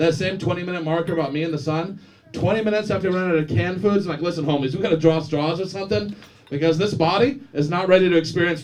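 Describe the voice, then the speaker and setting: A loud man talks at a very fast pace in a high pitch with lively intonation. Noticeable background noise and audible room echo fill the recording. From Florida, Daytona Beach. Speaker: stand-up comedian. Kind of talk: stand-up. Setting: stage with audience.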